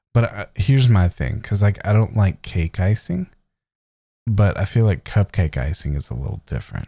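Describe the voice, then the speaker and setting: The sound is dry and close with no echo as a man talks at a moderate pace. His fairly low, somewhat breathy voice has a dark, mellow tone and lively intonation. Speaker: podcast co-host. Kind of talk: casual chat. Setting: podcast recording.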